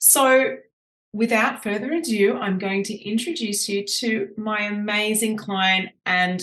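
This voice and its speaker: A woman with an Australian accent speaks very slowly at medium pitch with ordinary pitch variation. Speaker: podcast host and business coach. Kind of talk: podcast interview. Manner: animated.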